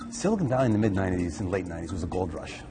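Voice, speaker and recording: Music plays behind a man with a very deep, low pitch. He speaks very fast, with ordinary pitch variation. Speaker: venture capitalist. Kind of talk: interview answer.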